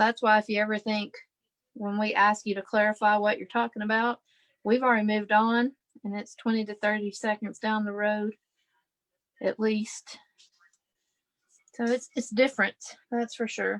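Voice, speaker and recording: A woman with a fairly high pitch speaks in a monotone, her intonation flat and her loudness swinging widely. Long pauses come often against a quiet background. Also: moderate pace. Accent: Southern US. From Kentucky. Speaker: scrapbooking livestream host, former teacher. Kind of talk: live crafting livestream chat. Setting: live online video stream. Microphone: video call.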